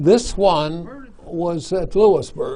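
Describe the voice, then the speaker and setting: A man speaks with very wide pitch swings. Noticeable background noise can be heard behind him. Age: 80s+. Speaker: retired family doctor and gun collector. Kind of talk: interview answer.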